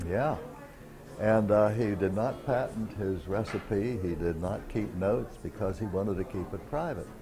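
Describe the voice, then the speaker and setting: Music plays in the background as the speech moves at a moderate pace with ordinary pitch variation and audible room echo. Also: man, fairly low pitch for a man. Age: 70s. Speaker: morel hunter. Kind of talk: documentary interview.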